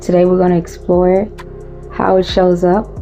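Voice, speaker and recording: A woman is speaking. Music plays behind her. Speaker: trauma and relationship podcast host. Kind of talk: podcast episode intro. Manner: drained, unengaging.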